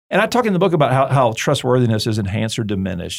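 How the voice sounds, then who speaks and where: On a very clean recording with a silent background, a man speaks at a very fast pace with vocal fry. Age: 40s. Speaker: seminary president and author. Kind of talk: interview. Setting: studio. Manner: conversational, many filler words and repeats.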